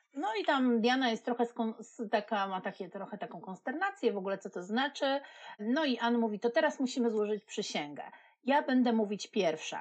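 A woman with an ordinary speaking voice, fairly high-pitched for a woman, lively intonation and a moderate pace, against a quiet background. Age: 40s. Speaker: podcast co-host, marketing specialist. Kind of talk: casual chat.

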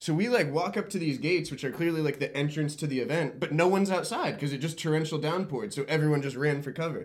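Against noticeable background noise, a man talks very fast in a fairly high voice with ordinary pitch variation. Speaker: podcast co-host. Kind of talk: casual chat.

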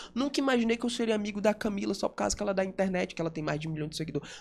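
A man's high-pitched voice. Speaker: radio and TV presenter. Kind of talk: casual interview chat.

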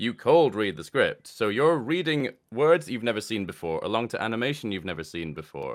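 A man at a fairly quick pace with hardly any pauses and very wide pitch swings, on a very clean recording with a silent background. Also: medium pitch for a man. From Scotland. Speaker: voice actor. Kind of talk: casual interview chat.

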